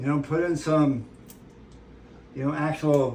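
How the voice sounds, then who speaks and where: Heard with audible room echo, a man talks at a moderate pace. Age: 60s. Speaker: ranch channel host, home cook. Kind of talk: casual cooking tutorial with rambling chat. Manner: casual, conversational with fillers.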